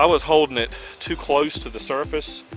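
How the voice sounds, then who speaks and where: A man's voice, dry and echo-free, with faint music in the background. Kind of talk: casual vlog chat. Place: garden. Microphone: phone near.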